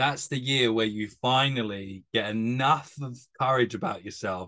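A man speaks with a British accent at a fairly slow pace. His pitch varies in an ordinary way. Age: 30s. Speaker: podcast host, strength coach. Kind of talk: casual interview chat.

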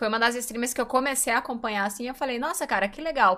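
The recording is very clean, with a silent background. A woman talks in a high, bright, sharp voice with ordinary pitch variation. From Brazil, São Paulo. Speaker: streamer and interview host. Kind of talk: casual interview chat.

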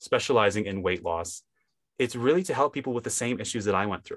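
The speaker has a Midwestern US accent and lively intonation. The background is quiet. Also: man. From US Midwest, Wisconsin. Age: 20s. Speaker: hypnotist.

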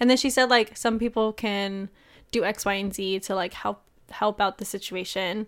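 A woman with an American accent, an ordinary speaking voice, medium pitch, fairly even intonation and a moderate pace. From United States. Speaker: podcast co-host. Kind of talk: casual chat.

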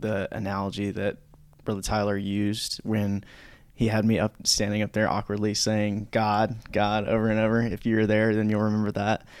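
The speaker has an American accent and a monotone, flat intonation at a moderate pace. The recording is very clean, with a silent background. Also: man. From North Carolina. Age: 20s. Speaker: church youth staff member. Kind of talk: casual chat. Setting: studio.

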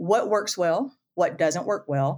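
A woman with a Southern US accent on a very clean recording with a silent background. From US South, Florida panhandle. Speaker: construction 3D printing executive. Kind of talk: casual interview chat.

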